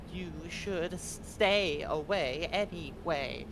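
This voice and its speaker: Through loud background noise comes a put-on character voice at a middle pitch and a very slow pace. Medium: actual play.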